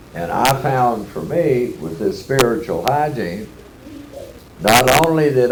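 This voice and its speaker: A man's medium-pitched voice with a Texas accent at a fairly slow pace, with audible room echo and noticeable background noise. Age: 70s. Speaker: AA speaker. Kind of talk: workshop talk.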